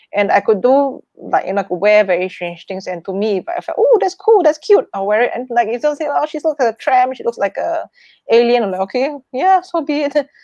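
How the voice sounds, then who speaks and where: A woman's high-pitched voice with a Chinese accent, fairly quick and with hardly any pauses, swinging very widely in pitch. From Singapore. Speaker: wealth manager and performer. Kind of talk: interview conversation. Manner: halting, many fillers; loud, boisterous.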